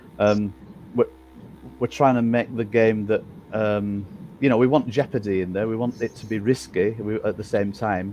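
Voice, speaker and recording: A man with an English accent speaks at a fairly low pitch, with fairly even intonation and long, frequent pauses. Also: moderate pace. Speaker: game developer. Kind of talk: live Q&A stream. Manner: halting.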